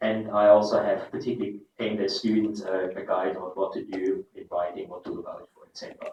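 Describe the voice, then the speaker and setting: A man in a German accent, fairly quick with hardly any pauses and big swings in loudness. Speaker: professor. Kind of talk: keynote lecture.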